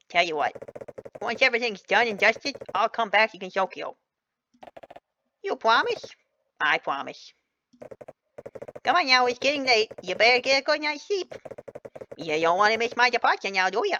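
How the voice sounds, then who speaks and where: A female-sounding voice, put on as a character and pitched high, breaks up its lines with long, frequent pauses. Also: moderate pace. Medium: game stream. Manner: casual, folksy, relaxed.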